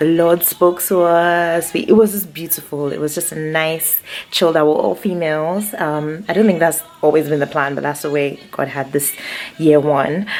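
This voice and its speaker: A woman speaks at a moderate pace with a very deep, low pitch and fairly even intonation, with music playing in the background. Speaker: vlogger. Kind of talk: casual vlog talk.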